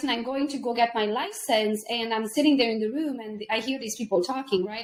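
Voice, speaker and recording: With a Hungarian accent, a woman speaks in a fairly high voice at a moderate pace. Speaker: realtor and entrepreneur. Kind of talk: casual chat.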